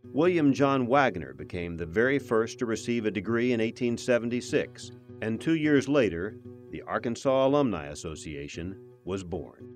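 Music plays in the background as a man talks at a moderate pace. His medium-pitched voice has lively intonation. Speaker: narrator. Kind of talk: documentary narration.

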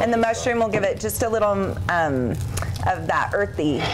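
Noticeable background noise sits behind speech at a moderate pace. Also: woman. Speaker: guest. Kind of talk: cooking demonstration chat. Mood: cheerful, laughing. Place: studio.

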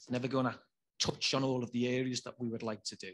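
Speaking at a very fast pace in a Liverpool accent, a man keeps a medium pitch and a monotone, flat intonation. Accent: Scouse (Liverpool). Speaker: regional government officer. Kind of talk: panel discussion.

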